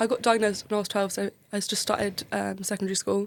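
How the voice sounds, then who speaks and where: In a southern English accent, a woman at a medium pitch speaks at a very fast pace with monotone, flat intonation. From Kent, south-east England. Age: 20s. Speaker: medical student. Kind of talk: podcast interview.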